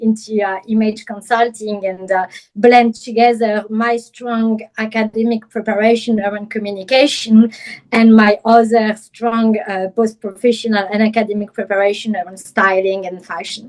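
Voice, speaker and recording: A woman's fairly high voice in a French accent, monotone and flat, at a moderate pace with hardly any pauses. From France, Paris. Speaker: image consultant and personal stylist. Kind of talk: interview.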